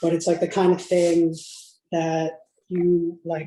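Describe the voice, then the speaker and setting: This man has a high pitch and a flat, monotone delivery. He speaks at a fairly slow pace. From Calcutta, India. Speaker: home cook. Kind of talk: casual chat.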